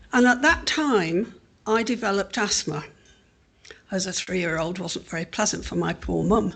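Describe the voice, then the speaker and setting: Against a quiet background, a woman talks at a moderate pace with a medium pitch, lively intonation and vocal fry. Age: 70s. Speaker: patient and carer governor. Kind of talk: personal talk at conference. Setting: conference hall with audience.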